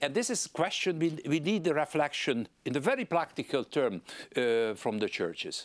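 A man's fairly high voice with a Hungarian accent, very wide pitch swings, vocal fry and a moderate pace, in a very clean recording with a silent background. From Hungary. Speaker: politician. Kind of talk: interview. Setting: studio.

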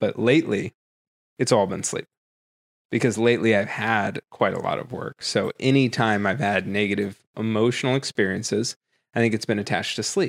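With a plain, everyday voice, a man speaks at a moderate pace and medium pitch with fairly even intonation, the sound dry and close with no echo in a very clean recording with a silent background. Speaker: podcast co-host, tech entrepreneur. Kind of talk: casual chat. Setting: home recording.

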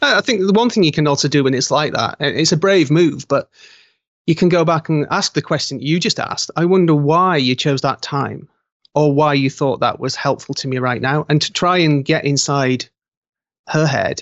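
The speaker has a British accent. Pace is moderate, and pitch variation is ordinary. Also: man, fairly high pitch for a man. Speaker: author and graphic artist. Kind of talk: interview. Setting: video call. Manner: halting.

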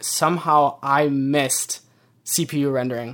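In a very clean recording with a silent background, a man with an American accent speaks in a monotone, flat manner. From US Midwest, Michigan. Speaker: motion designer. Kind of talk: casual interview. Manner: halting, many fillers and repeats.

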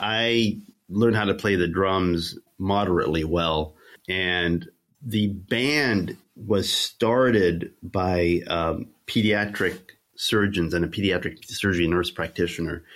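Delivered at a very slow pace with ordinary pitch variation, the speech sits in a very clean recording with a silent background. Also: man. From Egypt and North Africa. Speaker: obstetrician. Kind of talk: interview.

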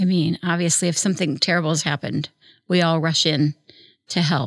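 This woman has a plain, everyday voice, pitched fairly low. She talks at a fairly quick pace. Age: 60s. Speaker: philanthropist. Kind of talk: casual chat.

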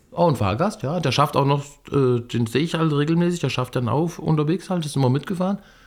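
A man speaks very fast in a fairly high voice, with ordinary pitch variation. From Germany, Fulda (eastern Hesse). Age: 50s. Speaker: train conductor. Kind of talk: casual chat. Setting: on a train.

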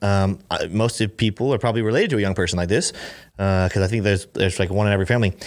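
On a very clean recording with a silent background, a man speaks at a very fast pace in an animated tone. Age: 20s. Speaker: podcast host. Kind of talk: casual chat.

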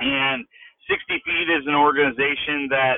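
Speaking at a fairly slow pace, a man with a fairly high pitch has a plain, everyday voice. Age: 40s. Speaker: father of four, adoptive parent. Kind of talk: interview conversation.

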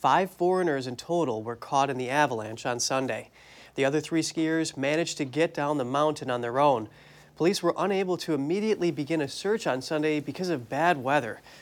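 At a fairly high pitch, a man has an ordinary speaking voice with ordinary pitch variation. He talks at a fairly quick pace in a very clean recording with a silent background. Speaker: news anchor. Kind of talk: news reading. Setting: studio.

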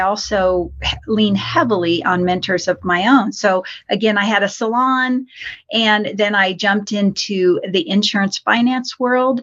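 A woman talks in a normal speaking voice of medium pitch, with ordinary pitch variation. Her pace is fairly slow and her loudness very even. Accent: American. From Colorado. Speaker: financial coach. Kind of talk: interview.

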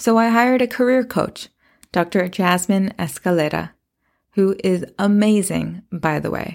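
A woman with a normal speaking voice talks at a fairly slow pace with lively intonation in a very clean recording with a silent background. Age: 30s. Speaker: podcast host. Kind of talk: solo podcast monologue.

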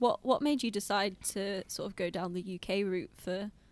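A normal speaking voice. It moves at a moderate pace with fairly even intonation. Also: woman. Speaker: podcast host. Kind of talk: casual interview chat.

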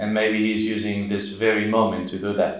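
Male speech at medium pitch, in an Australian accent. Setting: studio.

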